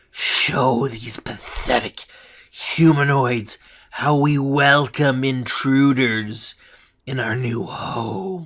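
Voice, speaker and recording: Using a put-on character voice, a man speaks at a very slow pace in a medium pitch. His speech has a hissing quality. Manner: hissing, haughty, commanding.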